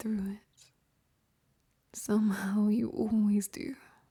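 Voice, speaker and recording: The voice is soft-spoken, with a gentle, calm tone. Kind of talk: ASMR comfort monologue to the listener. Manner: soft-spoken, gentle, calm.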